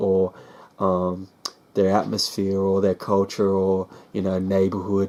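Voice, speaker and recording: A man with an Australian accent talks at a fairly slow pace. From Australia, Sydney. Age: 20s. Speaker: hip-hop artist. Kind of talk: vlog monologue. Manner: casual, filler-heavy.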